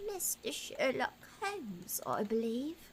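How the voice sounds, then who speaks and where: Over clear background noise, a woman does a put-on character voice at a high pitch with very wide pitch swings and a fairly slow pace. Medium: virtual streamer. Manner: sardonic, terse.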